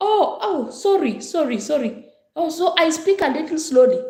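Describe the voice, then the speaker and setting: A loud woman's voice at an extremely high pitch, with very wide pitch swings, a moderate pace and audible room echo. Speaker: pastor. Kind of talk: casual chat.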